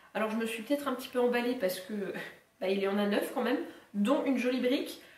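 Audible room echo follows a woman with a high pitch who talks at a very fast pace with ordinary pitch variation. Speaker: book YouTuber. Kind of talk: casual talk to camera, book haul. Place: home room. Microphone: camera far.

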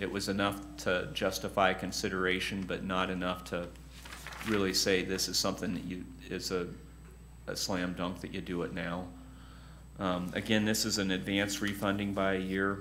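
A man speaks at a moderate pace with a very deep, low pitch and monotone, flat intonation. Long, frequent pauses break his speech over light background noise. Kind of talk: meeting briefing. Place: meeting room.

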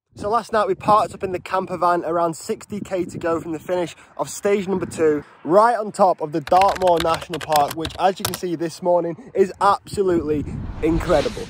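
Over noticeable background noise, a man speaks fairly quickly in a high voice, the sound dry with no echo. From northwest England. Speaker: pro cyclist vlogger. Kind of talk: casual vlog. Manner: animated. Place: open country. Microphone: phone near.

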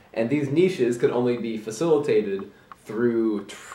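A man's lively intonation comes through with audible room echo around him. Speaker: amateur video essayist. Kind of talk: casual video essay talk to camera. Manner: hesitant, with filler words. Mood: wry, playful. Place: home room. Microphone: camera far.

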